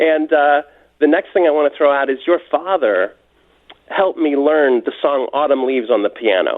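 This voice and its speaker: A man with an unremarkable speaking voice and a fairly high pitch talks at a moderate pace, with very even loudness and ordinary pitch variation. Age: 60s. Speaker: caller. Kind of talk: phone-in call to radio show. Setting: phone call.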